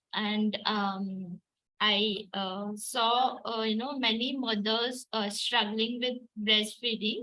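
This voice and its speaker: A woman with a Gujarati accent speaks very slowly in a fairly high, flat monotone. Her tone is bright and sharp. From India, Maharashtra. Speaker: artist and mother. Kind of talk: online group talk. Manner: halting, many fillers.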